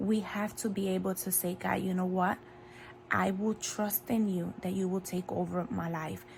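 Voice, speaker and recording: With a Spanish accent, a somewhat breathy woman speaks at a moderate pace with fairly even intonation. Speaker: faith video creator. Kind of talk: devotional talk. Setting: in bed at home.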